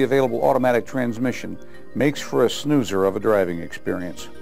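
Faint music plays in the background as a man speaks at a fairly quick pace. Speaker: presenter. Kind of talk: corporate training presentation. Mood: confident, lightly wry. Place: studio. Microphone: lapel.

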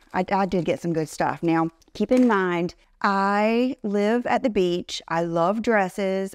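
A woman speaks at a fairly slow pace with ordinary pitch variation. The background is quiet and the sound is dry, with no echo. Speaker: fashion vlogger. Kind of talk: casual vlog chat. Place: office. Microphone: lapel.

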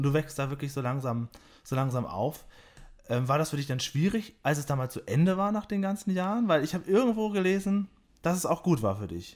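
A fairly high-pitched man's voice, fairly quick, with very wide pitch swings. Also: very clean recording, silent background. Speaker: podcast host. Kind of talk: interview. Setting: his own home. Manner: announcer-like.

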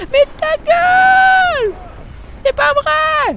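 A put-on character voice sounds squeaky at an extremely high pitch. Light background noise sits behind it. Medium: solo performance. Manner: brash, insulting.

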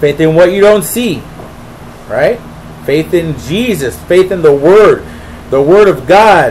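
The speech moves at a very slow pace with long, frequent pauses. Light background noise is present. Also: man, high pitch for a man, ordinary pitch variation. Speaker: preacher. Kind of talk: Bible study teaching with prayer, sermon-style. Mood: earnest, devotional. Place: home room. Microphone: webcam.

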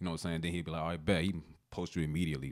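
A man's very deep, low voice in an American accent, monotone and flat in intonation, over a quiet background. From US Mid-Atlantic (DMV). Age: 20s. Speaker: rapper; guest. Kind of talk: casual chat. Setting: studio. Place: studio. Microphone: studio mic.

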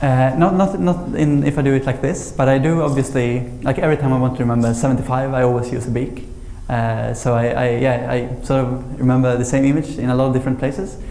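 Fairly even intonation in a Swedish accent at a fairly quick pace, with audible room echo. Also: man. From Sweden. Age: 20s. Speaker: memory champion; speaker. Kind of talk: lecture. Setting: stage with audience. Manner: halting. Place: hall. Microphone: lapel.

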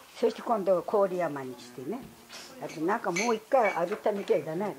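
A woman speaks at medium pitch with lively intonation. Noticeable background noise runs underneath. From Futaba, Fukushima, Japan. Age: 80s+. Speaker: nuclear disaster evacuee. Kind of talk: interview answer. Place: hall. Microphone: camera far.

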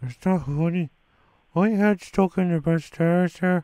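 In a whiny put-on character voice, a man speaks at a moderate pace and a high pitch with ordinary pitch variation, the sound dry and close with no echo. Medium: comedy sketch. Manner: whiny, repetitive.

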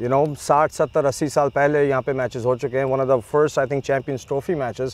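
A man with a plain, everyday voice, medium pitch, fairly even intonation and a fairly quick pace, in a dry sound with no echo. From US (Chicago area), Pakistani family. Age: 40s. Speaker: cricket league founder; guest. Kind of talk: interview. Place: open country. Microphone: lapel.

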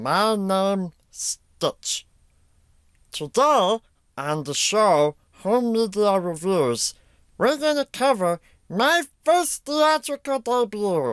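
Doing a put-on character voice, a man speaks very slowly at a high pitch with very wide pitch swings in a very clean recording with a silent background. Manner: cheerful, playful.

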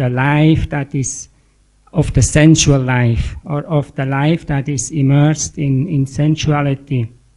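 The man's voice sits fairly high yet has a dark, mellow tone. He talks at a fairly slow pace with fairly even intonation. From Switzerland. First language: German. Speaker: retreat participant. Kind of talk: audience question. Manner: halting.

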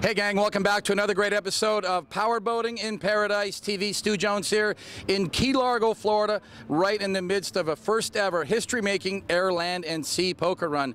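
A fairly quick man's voice, high for a man, with fairly even intonation and a dry sound free of echo. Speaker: TV show host. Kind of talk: on-location TV host intro. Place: waterside. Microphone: handheld.

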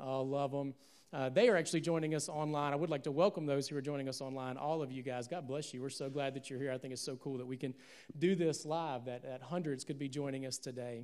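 This man talks at a very fast pace with a Southern US accent. His pitch sits fairly high. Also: quiet background. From US South, Alabama. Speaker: pastor. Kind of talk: sermon. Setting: church, stage with audience, streamed live. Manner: animated. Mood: warm, joking. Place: church. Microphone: handheld.

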